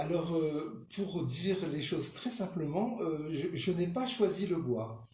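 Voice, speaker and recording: A man's high voice, very slow yet with hardly any pauses, lively intonation and noticeable background noise. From northern France, Lille. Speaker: sculptor. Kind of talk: radio interview. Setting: radio studio. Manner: hesitant.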